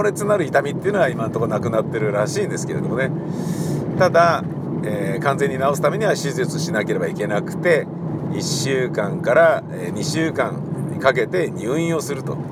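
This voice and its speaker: A man's fairly high voice with lively intonation at a moderate pace, with audible room echo and noticeable background noise. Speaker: radio personality and theatre director. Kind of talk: casual solo talk while driving. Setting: in a car.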